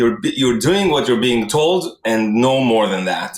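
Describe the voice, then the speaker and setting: A man speaks in an Israeli accent at a medium pitch. His pace is fairly slow. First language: Hebrew. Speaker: tech product executive. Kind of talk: casual interview.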